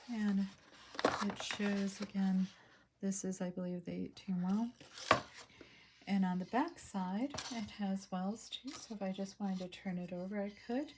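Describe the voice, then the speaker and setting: A woman speaks at a medium pitch with fairly even intonation and long, frequent pauses. Noticeable background noise runs underneath. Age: 60s. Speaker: hobby artist showing art supplies. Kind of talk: casual product haul video. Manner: hesitant, many fillers.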